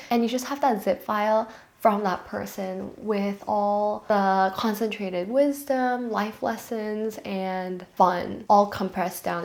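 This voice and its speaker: Speaking with a Korean accent, a woman with fairly high pitch goes at a fairly slow pace with hardly any pauses and ordinary pitch variation. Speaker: lifestyle vlogger. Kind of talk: vlog monologue.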